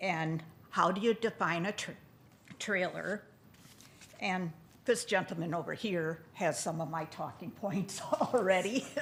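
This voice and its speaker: In an Upper Midwest US accent, a woman speaks at a fairly slow pace with ordinary pitch variation and long, frequent pauses. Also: medium pitch for a woman. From Neenah, Wisconsin. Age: 70s. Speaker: retired resident speaking at public comment. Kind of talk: public comment at council meeting. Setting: city council meeting.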